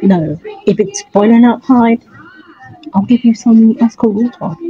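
Speaking at a fairly slow pace, this woman has a fairly high pitch, ordinary pitch variation and very even loudness, in a dry sound with no echo. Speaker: vlogger. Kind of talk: casual vlog talk to camera. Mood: reflective, tired. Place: home room. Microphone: phone near.

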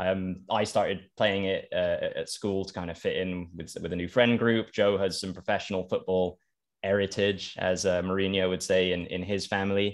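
A man speaks with a London accent at a fairly low pitch and a moderate pace. His intonation is monotone and flat, over a quiet background. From London, England. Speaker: podcast host. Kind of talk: casual interview. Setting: remote call. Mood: jokey, smiling. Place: home room. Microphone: studio mic.

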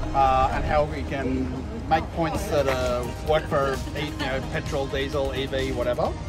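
A man talks fairly slowly while loud music plays behind him. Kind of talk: group briefing. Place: street.

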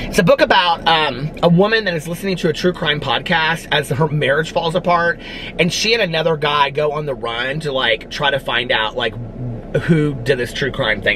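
A man's fairly high-pitched voice amid noticeable background noise. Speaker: book YouTuber. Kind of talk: casual vlog chat. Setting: outdoors outside a fast food restaurant. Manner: chatty, filler-heavy.

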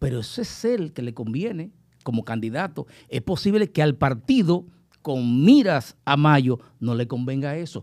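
Fairly high in pitch, a man speaks at a fairly slow pace with lively intonation. The background is quiet. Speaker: guest commentator. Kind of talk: casual panel discussion. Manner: jokey, animated. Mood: calm analytical. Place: studio. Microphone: studio mic.

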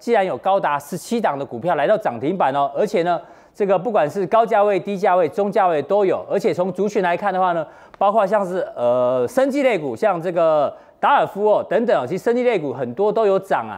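A man talks at a fairly quick pace in a high voice with very wide pitch swings, against a quiet background. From Taiwan. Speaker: TV finance show host. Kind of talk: studio panel discussion. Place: studio. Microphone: lapel.

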